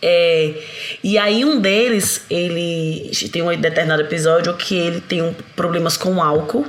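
Noticeable background noise and audible room echo surround speech delivered at a fairly slow pace. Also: woman. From Bahia, Brazil. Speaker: parenting author. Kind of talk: casual chat.

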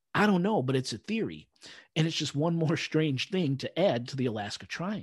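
Against a quiet background, a man with a plain, everyday voice speaks at a moderate pace and fairly high pitch, with lively intonation. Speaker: podcast host. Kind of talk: casual podcast chat.

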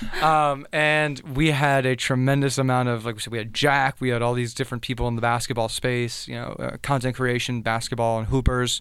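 A man's medium-pitched voice in an American accent, fairly quick, with monotone, flat intonation. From South Florida, US. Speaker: former college basketball player. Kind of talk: casual interview. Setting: studio.

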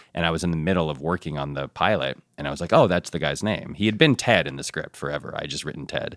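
Very fast talk with an American accent, vocal fry and ordinary pitch variation. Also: man, very deep, low pitch for a man. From suburban Connecticut, US. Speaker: TV writer and producer. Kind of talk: casual interview chat.

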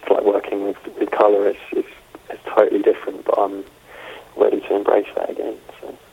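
With a London accent, the speaker moves at a fairly quick pace, with big swings in loudness, long and frequent pauses, and noticeable background noise. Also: man. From London, England. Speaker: film photographer. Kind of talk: interview. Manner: halting.

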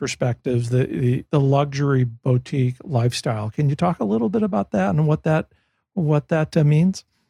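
Somewhat breathy and fairly high-pitched, a man speaks with a dark, mellow tone in a dry, close sound with no echo. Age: 60s. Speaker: podcast host. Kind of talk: interview.

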